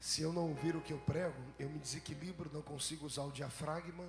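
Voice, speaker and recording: Music plays in the background as a man with fairly high pitch speaks at a moderate pace. His intonation is monotone and flat. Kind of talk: preacher's sermon delivery.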